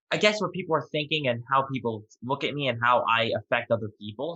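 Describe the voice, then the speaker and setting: An unremarkable speaking voice from a man with an American accent, fairly quick in pace, with ordinary pitch variation. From New York. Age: 20s. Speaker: podcast guest, merchandise founder. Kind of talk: interview.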